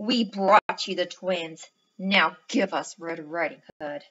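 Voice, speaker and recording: A woman speaks at a fairly slow pace in a put-on character voice. She growls at a medium pitch. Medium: read story. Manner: scornful, growling.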